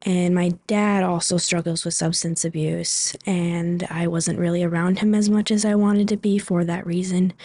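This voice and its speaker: Speaking with an American accent at a moderate pace, the voice stays monotone with flat intonation. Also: woman. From Superior, Wisconsin, US Upper Midwest. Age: 20s. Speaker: manufacturing worker. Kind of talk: interview.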